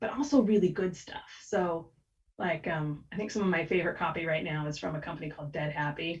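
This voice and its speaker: Somewhat breathy, a woman with an American accent talks at a moderate pace with lively intonation. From United States. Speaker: copywriter. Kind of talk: podcast interview. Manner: animated.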